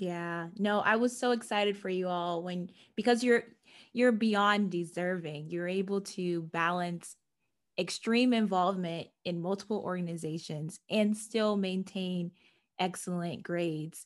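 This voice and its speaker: A woman talks in a normal speaking voice at a fairly slow pace. Her pitch is medium and her intonation fairly even. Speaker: podcast host. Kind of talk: casual interview.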